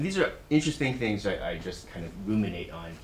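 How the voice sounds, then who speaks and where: There is audible room echo as a man with an American accent speaks at a moderate pace. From US West Coast, Silicon Valley. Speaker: university executive, guest speaker. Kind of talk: talk to students. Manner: halting, many fillers.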